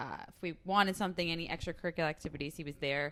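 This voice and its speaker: Talking at a very fast pace, a woman has a fairly low pitch, ordinary pitch variation and a bright, sharp tone. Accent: Staten Island. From Staten Island, New York City. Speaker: podcast guest, host's college friend. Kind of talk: casual chat.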